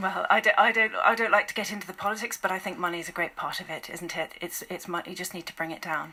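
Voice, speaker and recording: Over noticeable background noise, a woman at medium pitch talks at a very fast pace with hardly any pauses, ordinary pitch variation and big swings in loudness. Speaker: charity volunteer and campaigner. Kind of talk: radio interview answer.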